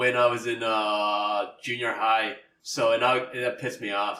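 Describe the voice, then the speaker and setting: A man is speaking. Room echo is audible. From Canada. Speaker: podcast co-host. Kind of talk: casual chat.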